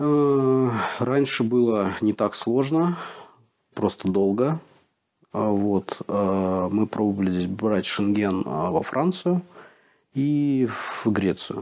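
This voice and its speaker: Speaking at a very slow pace with long, frequent pauses, a man with a fairly low pitch keeps his loudness very even while his intonation stays lively. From Russia. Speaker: relocated expat. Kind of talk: interview.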